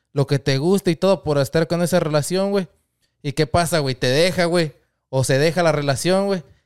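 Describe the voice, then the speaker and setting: A man talks at a moderate pace in a normal speaking voice. His pitch is fairly high and varies in an ordinary way. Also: dry, close sound with no echo. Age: 20s. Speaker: podcast host as guest. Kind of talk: casual chat. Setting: podcast studio.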